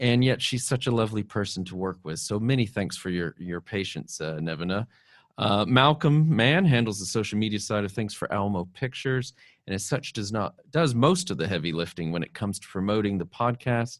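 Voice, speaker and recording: At a fairly quick pace, a man with a fairly low pitch speaks with lively intonation in a very clean recording with a silent background. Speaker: podcast host. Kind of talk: casual interview and closing thanks. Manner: halting, many filler words.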